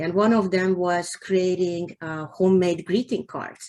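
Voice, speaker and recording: A woman with a Hungarian accent, medium in pitch, at a fairly slow pace. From Hungary. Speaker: novelist. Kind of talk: interview. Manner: halting.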